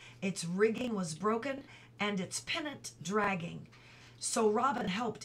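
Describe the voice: The passage is read aloud in a plain way.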